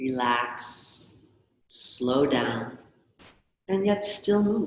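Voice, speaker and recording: In a calm tone and a very deep, low voice, a woman speaks at a very slow pace with very wide pitch swings, her words echoing audibly in the room. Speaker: movement class teacher. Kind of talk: guided movement session. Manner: calm, slow.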